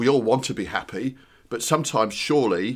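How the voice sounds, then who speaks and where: A man's normal speaking voice at a moderate pace, with ordinary pitch variation, in a very clean recording with a silent background. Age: 60s. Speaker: actor and writer, podcast host. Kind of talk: casual chat.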